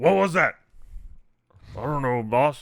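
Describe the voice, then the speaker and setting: A man puts on a character voice at a fairly high pitch. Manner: gruff, dim.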